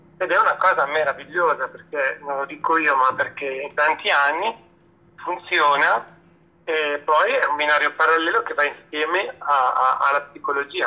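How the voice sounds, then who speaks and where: Over noticeable background noise, a man speaks with a fairly high pitch. His pace is moderate and his intonation fairly even. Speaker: guest speaker on faith talk show. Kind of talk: casual chat. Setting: video call.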